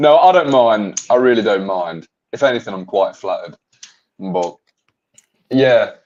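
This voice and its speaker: A man with an English accent speaks at a moderate pace. His intonation is lively, broken by long, frequent pauses. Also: medium pitch for a man. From England. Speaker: podcast guest. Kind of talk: casual chat.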